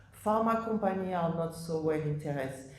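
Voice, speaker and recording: A woman speaks with a non-native accent at a fairly low pitch with ordinary pitch variation. Echo from the room is audible. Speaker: oncology professor. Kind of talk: conference presentation. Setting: conference stage with audience. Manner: halting with fillers.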